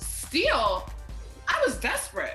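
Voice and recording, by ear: A woman's put-on character voice, high and bright with a sharp tone, very wide pitch swings and a slow pace, over faint background music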